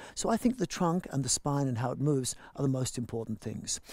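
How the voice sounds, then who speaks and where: A man speaks in a dark, mellow tone. The sound is dry with no echo, and the background is quiet. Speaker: yoga teacher. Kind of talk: class instruction.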